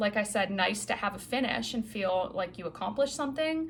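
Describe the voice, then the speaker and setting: A woman speaks with an American accent. Her pitch is fairly high. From New England. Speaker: cross-stitch vlogger. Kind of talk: casual vlog chat. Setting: home office. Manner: fast.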